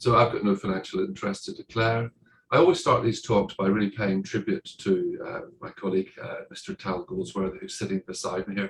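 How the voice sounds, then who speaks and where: In an Irish accent, a man with a medium pitch talks at a fairly quick pace, somewhat breathy, with very wide pitch swings and big swings in loudness. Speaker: heart surgeon. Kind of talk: conference talk. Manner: hesitant, many fillers.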